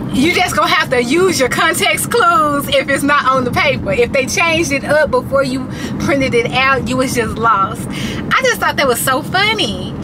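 A woman talks at a moderate pace. Loud background noise runs underneath. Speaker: vlogger. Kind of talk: casual vlog chat. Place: car. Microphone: phone near.

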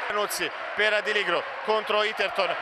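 A man's high, animated voice over noticeable background noise. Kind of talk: live basketball commentary. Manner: animated, builds excitement on dunks and threes.

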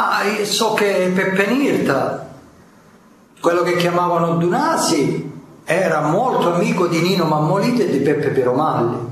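Lively intonation and very even loudness mark this fairly slow delivery with long, frequent pauses. Audible room echo and noticeable background noise are present. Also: man, high pitch for a man. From Calabria, Tyrrhenian side. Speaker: mafia collaborator witness. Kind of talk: court testimony.

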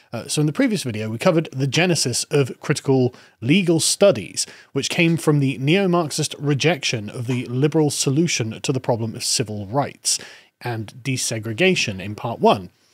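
The man talks at a moderate pace. The sound is dry with no echo, and the background is quiet. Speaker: political commentator. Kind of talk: commentary. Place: studio. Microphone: studio mic.

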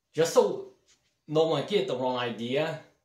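Speaking at a very slow pace, a man sounds somewhat breathy against a quiet background with audible room echo. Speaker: home cleaning vlogger. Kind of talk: casual vlog chat. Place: bathroom. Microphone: phone near.

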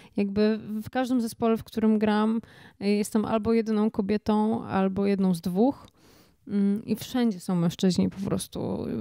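A woman's fairly high, dark and mellow voice, monotone and flat, at a moderate pace, with a dry sound with no echo and a quiet background. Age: 30s. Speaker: singer-songwriter; guest. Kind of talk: interview. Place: studio. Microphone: handheld.

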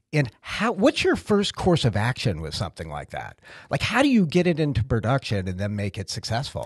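A man with an American accent, fairly quick pace, very wide pitch swings and vocal fry, in a dry sound with no echo against a quiet background. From Massachusetts. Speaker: podcast host. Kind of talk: casual chat. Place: office. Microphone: studio mic.

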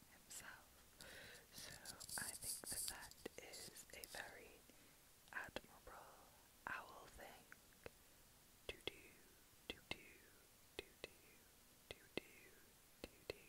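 A woman whispers. Her pace is very slow. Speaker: ASMR creator. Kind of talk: ASMR chatty talk to camera. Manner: soft whispered.

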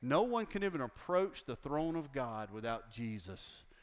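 A man with an American accent talks at a moderate pace, fairly high in pitch with lively intonation. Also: quiet background. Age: 60s. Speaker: pastor. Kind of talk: sermon. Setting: church with congregation. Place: church.

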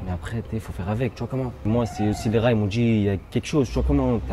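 The speech comes at a very fast pace with lively intonation. Light background noise can be heard. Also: man. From Lyon, France (Gerland, 7th arrondissement); Lyon. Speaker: rapper; interviewee. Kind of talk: casual chat. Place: street. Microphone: phone near.

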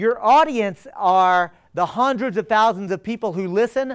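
An animated, high-pitched man with an American accent over a quiet background. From Texas. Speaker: attorney and political organizer; speaker. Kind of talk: public lecture. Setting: stage with live audience. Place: classroom.

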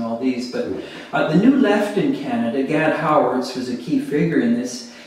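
Strong room echo surrounds this recording. A man speaks at a fairly quick pace. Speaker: interviewee. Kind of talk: interview answer. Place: home room.

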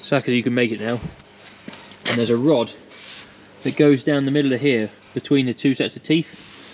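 Fairly quick speech from a man, fairly even in intonation, over light background noise. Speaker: farm worker vlogger. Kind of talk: casual vlog chat. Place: farm machine. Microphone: phone near.

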